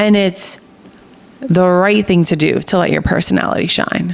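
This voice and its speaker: Woman with an American accent, animated and energetic in tone, at a moderate pace with ordinary pitch variation. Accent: New Jersey accent, comes out when excited. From New Jersey. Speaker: podcast host. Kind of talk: motivational podcast monologue. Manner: animated, energetic; partly reading aloud.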